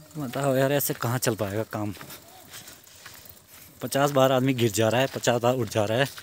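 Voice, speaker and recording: The sound is dry with no echo as a man speaks at a moderate pace with fairly even intonation, long, frequent pauses, and light background noise. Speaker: travel vlogger. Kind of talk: casual vlog chat. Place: open country. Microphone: phone near.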